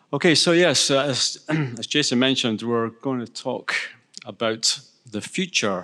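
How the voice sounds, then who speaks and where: A man with a Scottish accent speaks at medium pitch in a bright, sharp tone. He goes at a fairly slow pace with ordinary pitch variation. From Scotland. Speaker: panel moderator. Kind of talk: panel moderation.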